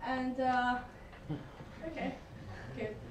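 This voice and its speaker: High in pitch, a woman speaks at a moderate pace with fairly even intonation. Audible room echo and noticeable background noise surround her voice. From China. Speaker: student network partnership manager. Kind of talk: answering questions; meeting report.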